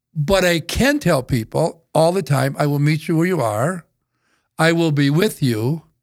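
A man with an Upper Midwest accent speaks at a fairly slow pace with a fairly high pitch. His pitch variation is ordinary and his loudness very even. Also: very clean recording, silent background. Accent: Upper Midwest American. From northeastern South Dakota. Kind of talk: interview storytelling. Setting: studio.

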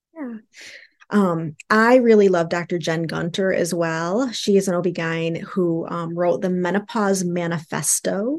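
A woman with an unremarkable speaking voice talks at a fairly slow pace against a quiet background. Her pitch is fairly low, with ordinary pitch variation. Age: 50s. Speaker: sex therapist, social worker. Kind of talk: casual interview chat.

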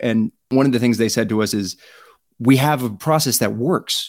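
In a plain, everyday voice, a man speaks at medium pitch and a moderate pace with ordinary pitch variation. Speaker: branded storytelling founder, filmmaker. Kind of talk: interview, casual conversation.

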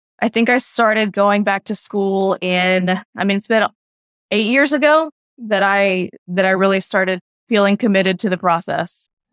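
An unremarkable speaking voice at a moderate pace, with very even loudness, ordinary pitch variation and a dry, close sound with no echo. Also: woman, medium pitch for a woman. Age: 30s. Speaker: CPA exam candidate, former teacher turned bookkeeper. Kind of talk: interview.

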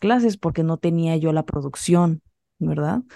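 A woman speaks at a moderate pace with a dark, mellow tone and fairly low pitch. Her intonation is fairly even, and the sound is dry and close with no echo. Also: quiet background. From Mexico. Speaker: poet and professor. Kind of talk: interview conversation.

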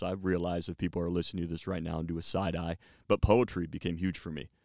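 Against a very clean recording with a silent background, a man with an American accent talks at a very fast pace, his pitch very deep and low, his intonation fairly even. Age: 30s. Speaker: radio and stadium announcer, university marketing. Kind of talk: casual interview chat. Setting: studio.

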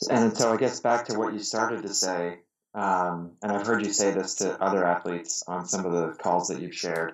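A normal speaking voice from a man with an American accent, fairly low in pitch, with fairly even intonation at a moderate pace. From US, Pittsburgh. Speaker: amateur endurance athlete. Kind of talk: casual interview conversation.

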